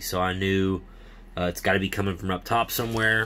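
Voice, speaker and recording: At a moderate pace, a man with a normal speaking voice talks with fairly even intonation. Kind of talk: casual DIY explanation. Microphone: phone near.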